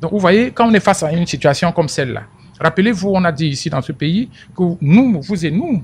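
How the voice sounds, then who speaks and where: High in pitch, a man talks at a fairly quick pace. His intonation is lively. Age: 60s. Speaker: political commentator. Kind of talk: radio interview. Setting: radio studio. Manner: animated; repeats words when speaking.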